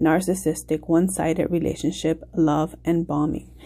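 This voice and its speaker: A woman speaks at a moderate pace with a fairly low pitch. Her tone is dark and mellow, with vocal fry. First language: not English. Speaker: tarot reader. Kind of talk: tarot reading. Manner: halting, with fillers.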